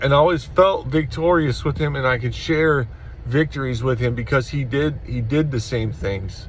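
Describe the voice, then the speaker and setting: A man's somewhat breathy voice at medium pitch, with ordinary pitch variation and a moderate pace. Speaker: vlogger. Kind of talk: personal vlog monologue. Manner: halting, stuttering.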